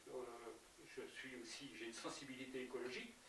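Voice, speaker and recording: Room echo can be heard around this voice. It belongs to a man. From France, Yvelines (Verneuil area). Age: 70s. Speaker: local election candidate. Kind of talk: political interview. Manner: halting, many hesitations and repetitions.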